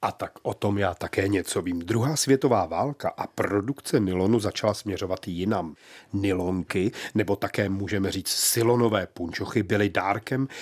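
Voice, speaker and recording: This man has a normal speaking voice, fairly low in pitch with ordinary pitch variation, and he talks at a moderate pace on a very clean recording with a silent background. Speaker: culinary author and menu collector. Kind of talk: historical scene-setting narration. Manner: vivid, storytelling, imaginative; warm, bantering.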